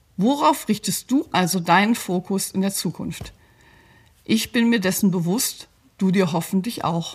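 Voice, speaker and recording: The voice moves at a fairly slow pace and sounds somewhat breathy. Its intonation is lively. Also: woman, medium pitch for a woman. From grew up partly in Belgium (Brussels), German. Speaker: psychologist and coach. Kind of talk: scripted advice talk.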